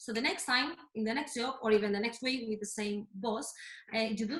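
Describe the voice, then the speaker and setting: Moderately paced, a woman speaks in a fairly high pitch. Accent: Spanish. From Spain, Madrid. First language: Spanish. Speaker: fitness and health coach. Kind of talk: workshop talk. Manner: halting.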